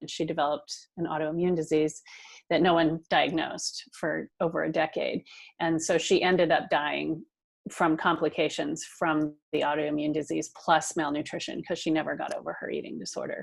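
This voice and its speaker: This very clean recording has a silent background. A woman speaks at a moderate pace. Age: 60s. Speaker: nonprofit founder. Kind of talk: interview. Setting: podcast.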